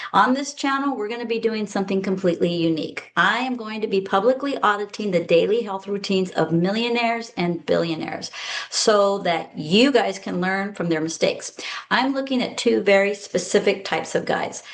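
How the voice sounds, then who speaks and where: Someone speaks at a fairly quick pace with ordinary pitch variation amid noticeable background noise. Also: woman, medium pitch for a woman. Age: 60s. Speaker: health strategist; former eye doctor. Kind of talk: casual talk to camera.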